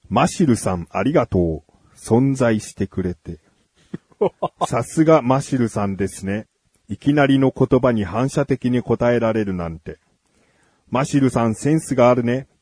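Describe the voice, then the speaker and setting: A plain, everyday voice from a man at medium pitch, with lively intonation at a moderate pace, in a dry, close sound with no echo. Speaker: radio host. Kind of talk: casual chat.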